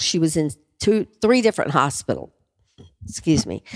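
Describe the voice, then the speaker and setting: The voice carries vocal fry at a moderate pace. The recording is very clean and dry, close with no echo and a silent background. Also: woman. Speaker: guest, nurse, host's mother. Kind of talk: casual interview chat.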